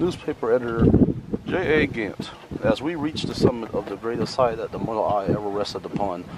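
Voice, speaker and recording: Over loud background noise, a man talks at a fairly quick pace with ordinary pitch variation, the sound dry with no echo. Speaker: vlogger. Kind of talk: reading a plaque aloud in a casual vlog. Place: open country. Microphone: phone near.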